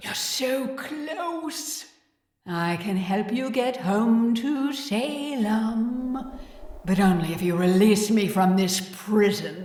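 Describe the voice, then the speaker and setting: A put-on character voice, female-sounding, at a fairly high pitch and very slow pace, with a clear echo. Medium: audio drama. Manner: dry, blunt.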